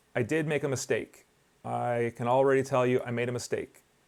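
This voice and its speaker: A man at a moderate pace and a medium pitch. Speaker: film photographer. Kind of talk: screen-recorded software tutorial. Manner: casual, hesitant with filler words.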